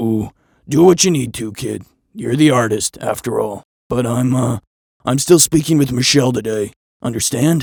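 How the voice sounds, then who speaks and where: A man puts on a raspy character voice at a medium pitch, leaving long, frequent pauses. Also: moderate pace. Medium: read story. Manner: brash, pushy salesman patter.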